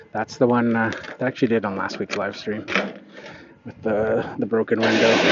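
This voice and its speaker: With noticeable background noise, a man talks at a moderate pace and medium pitch in a monotone, flat intonation. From Canada. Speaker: lawn care business owner. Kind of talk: live stream chat while working. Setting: outdoors.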